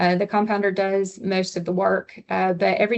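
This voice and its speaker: Speaking with a Southern US accent, a woman has a medium pitch. Her pace is moderate. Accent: Southern US, noticeable on some words. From US South. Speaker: hospital pharmacist presenter. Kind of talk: webinar presentation. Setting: online webinar.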